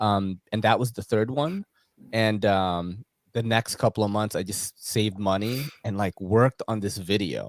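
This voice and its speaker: A man speaks at a fairly low pitch, close and dry with no echo. The recording is very clean, with a silent background. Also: ordinary pitch variation, fairly slow pace. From New York City, US. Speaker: knife YouTuber, podcast host. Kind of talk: casual interview chat.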